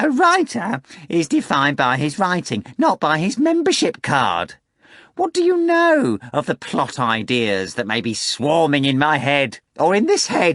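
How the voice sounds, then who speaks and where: A man's put-on character voice at a moderate pace over a quiet background. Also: fairly high pitch for a man. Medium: read story. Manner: florid, theatrical.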